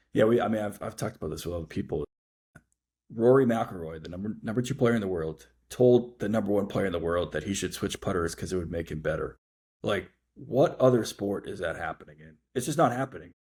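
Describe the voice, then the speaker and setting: A man with a fairly low pitch speaks at a very fast pace with lively intonation and a somewhat breathy voice. The recording is very clean, with a silent background. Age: 40s. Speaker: podcast host and golf novelist. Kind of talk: casual interview chat.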